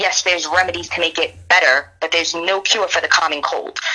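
Noticeable background noise accompanies a woman talking at a moderate pace and a medium pitch. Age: 30s. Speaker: sports commentator. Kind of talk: casual chat.

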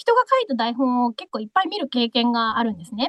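Recorded dry and close with no echo, a woman speaks fairly quickly in a high pitch. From Okinawa, Yonabaru. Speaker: voice actress and MC. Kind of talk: casual interview. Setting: video call.

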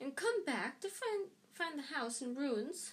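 A put-on character voice, female-sounding and growling, at a high pitch and fairly slow pace. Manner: snarling, sharp.

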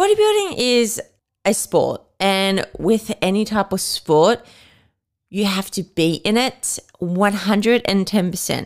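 A woman with an Australian accent at a very slow pace, with ordinary pitch variation. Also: medium pitch for a woman. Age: 20s. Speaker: podcast host and personal trainer. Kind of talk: casual solo podcast chat.

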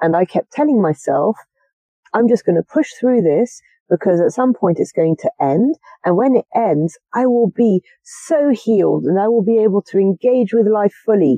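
A woman with a fairly high voice speaks at a moderate pace, her pitch swinging very widely while her loudness stays very even. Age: 30s. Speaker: aspiring Buddhist nun. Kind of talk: interview. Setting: outdoors in a garden.

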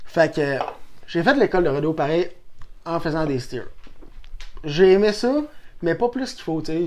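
In a Quebec accent, a man speaks with a fairly high pitch. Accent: rural Quebec French. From Quebec, Saint-Tite. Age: 20s. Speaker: rodeo athlete. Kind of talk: casual chat.

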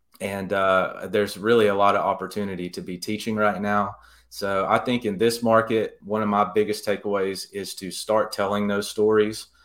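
A man speaks with hardly any pauses, his intonation monotone and flat. The recording is very clean, with a silent background. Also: fairly low pitch for a man, moderate pace. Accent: Alabama. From Alabama, US South (Jasper). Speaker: real estate agent. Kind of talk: interview.

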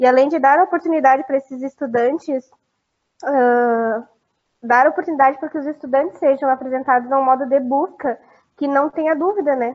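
High pitch from a woman, ordinary pitch variation, and a fairly quick pace. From Foz do Iguaçu area, Paraná, Brazil. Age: 20s. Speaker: student podcaster. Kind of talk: reading a prepared script.

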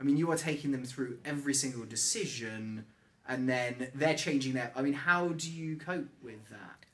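A man speaks with a London accent. His pitch is fairly high, with ordinary pitch variation. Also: moderate pace, big swings in loudness. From London, England. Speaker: podcast host and real estate agent. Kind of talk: casual interview chat.

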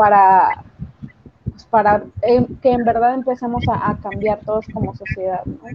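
Amid noticeable background noise, a woman talks at a fairly slow pace, her fairly high pitch kept to fairly even intonation. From Mexico. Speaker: podcast co-host. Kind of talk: casual chat.

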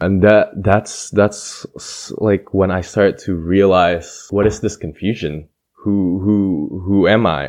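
Very slow, fairly low-pitched speech from a man with an American accent, fairly even intonation, hardly any pauses and a quiet background. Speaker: podcast host. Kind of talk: casual chat. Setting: studio.

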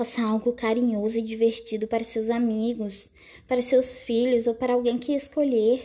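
A woman speaks in a dark, mellow tone. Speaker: podcast host, writer. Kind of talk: casual solo monologue. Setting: at home, not a studio.

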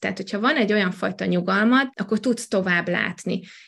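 Her voice is an unremarkable speaking voice, a woman's at medium pitch with ordinary pitch variation. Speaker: network marketer. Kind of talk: podcast interview. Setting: virtual studio.

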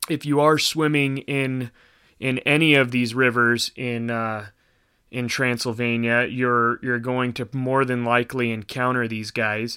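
A man of medium pitch with a bright, sharp tone speaks at a fairly slow pace in monotone, flat intonation, in a very clean recording with a silent background. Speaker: podcast co-host. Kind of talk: casual chat. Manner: casual, rambling.

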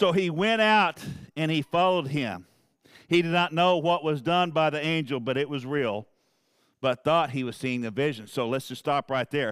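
A man with a Southern US accent, a fairly high pitch, a moderate pace and lively intonation. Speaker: preacher. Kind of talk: sermon. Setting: church. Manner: fervent, emphatic, pulpit-style delivery with repetition; informal, conversational, addressing congregation by name.

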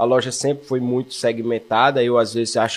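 A man speaks at a fairly quick pace in a normal speaking voice. His pitch sits in the medium range. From Brazil, Alagoas (Maceió). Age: 40s. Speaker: running shoe store owner and runner. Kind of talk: casual interview chat.

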